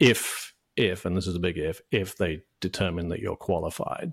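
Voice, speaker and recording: Here a man talks with a British accent. He keeps a moderate tempo. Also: very clean recording, silent background. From UK. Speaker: franchise consultant. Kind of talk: interview. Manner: halting, many fillers and repeated words.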